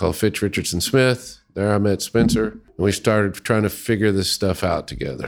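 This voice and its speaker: A man with a normal speaking voice talks at a moderate pace with hardly any pauses, his pitch fairly low and its variation ordinary. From US South, Little Rock, Arkansas. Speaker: user experience researcher. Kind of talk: casual chat. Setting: studio.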